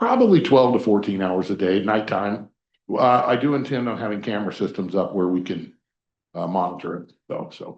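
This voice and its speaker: This man talks at a moderate pace in a fairly low pitch, his loudness swinging widely. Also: ordinary pitch variation. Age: 60s. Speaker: permit applicant at public meeting. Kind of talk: public hearing testimony. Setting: county planning commission meeting. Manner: hesitant, many fillers.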